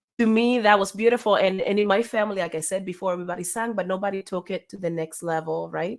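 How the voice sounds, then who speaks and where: With a Spanish accent, a woman speaks at a very fast pace with hardly any pauses, at medium pitch and fairly even intonation, in a very clean recording with a silent background. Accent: Spanish accent in English, noticeable. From Cuba. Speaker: singer. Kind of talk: interview.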